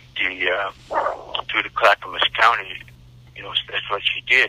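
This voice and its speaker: Over noticeable background noise, a man speaks with an American accent. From US Pacific Northwest, southern Oregon. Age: 70s. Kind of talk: interview. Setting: phone call. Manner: halting, repetitive stammering.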